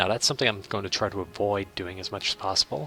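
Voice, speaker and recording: A man with an Irish accent speaks at a very fast pace and a very deep, low pitch. His tone is bright and sharp, his intonation fairly even. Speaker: gaming let's play video maker. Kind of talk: game commentary. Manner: casual, hesitant with fillers.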